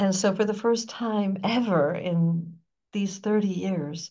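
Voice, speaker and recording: A woman with an American accent speaks at a fairly slow pace, somewhat breathy. Room echo can be heard. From US, New York. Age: 70s. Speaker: spiritual teacher. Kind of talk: interview.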